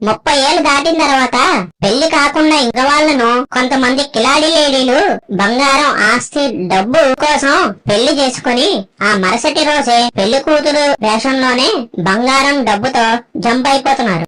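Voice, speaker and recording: A cartoonish character voice, female-sounding and high-pitched, moves at a fairly slow pace. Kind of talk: comedic roast dialogue between puppets. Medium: puppet.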